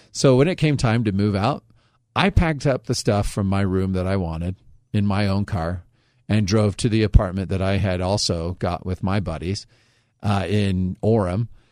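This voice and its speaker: Heard in a very clean recording with a silent background, a man with an unremarkable speaking voice and a fairly low pitch speaks at a moderate pace with ordinary pitch variation. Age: 30s. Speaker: radio host. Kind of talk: casual chat. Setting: studio.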